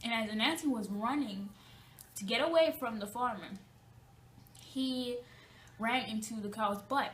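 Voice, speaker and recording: Speaking with a Jamaican accent at a fairly slow pace, the voice has ordinary pitch variation and long, frequent pauses, with audible room echo. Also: woman, fairly high pitch for a woman. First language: Jamaican Patois. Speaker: student presenter. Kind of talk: class presentation; storytelling presentation. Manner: halting, with fillers.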